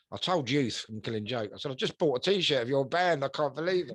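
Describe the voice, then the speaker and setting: A man's medium-pitched voice with a London accent and lively intonation. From south London. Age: 60s. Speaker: punk rock singer and bassist. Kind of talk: interview. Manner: halting, many fillers and repeats.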